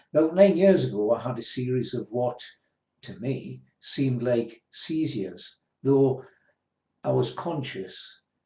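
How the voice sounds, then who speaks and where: Speaking at a very slow pace, a man with a medium pitch sounds somewhat breathy, his tone dark and mellow. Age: 60s. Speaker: person with a rare disease sharing their story. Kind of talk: personal testimony.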